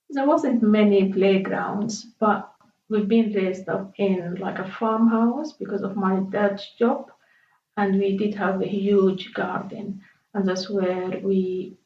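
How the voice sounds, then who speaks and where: A woman's very slow speech with fairly even intonation and audible room echo. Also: medium pitch for a woman. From Sudan, Khartoum. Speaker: interviewee. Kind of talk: life story interview. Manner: halting.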